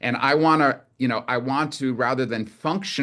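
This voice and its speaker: Ordinary pitch variation over a quiet background. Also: man. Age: 60s. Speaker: clinical herbalist and nutritionist. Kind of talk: casual interview chat. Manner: halting, many fillers and restarts.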